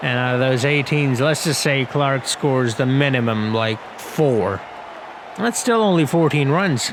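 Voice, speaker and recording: Over crowd noise in the background, a man at medium pitch speaks fairly slowly with lively intonation. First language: not English. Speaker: gaming youtuber, game commentator. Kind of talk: casual gameplay commentary. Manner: casual, hesitant with fillers.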